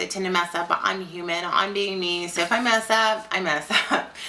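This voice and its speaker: A woman speaking at a moderate pace, with noticeable background noise. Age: 30s. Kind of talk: casual talk to camera. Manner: rambling, informal.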